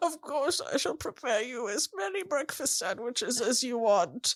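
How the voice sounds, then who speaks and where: Using a put-on character voice at a high pitch, a woman speaks at a moderate pace. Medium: actual play. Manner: courteous, formal.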